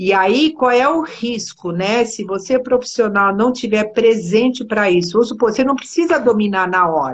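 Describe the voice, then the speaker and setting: Her pitch sits fairly high, and her intonation is lively. The woman keeps a moderate pace with hardly any pauses. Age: 60s. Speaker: body therapist. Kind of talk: casual chat. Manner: animated.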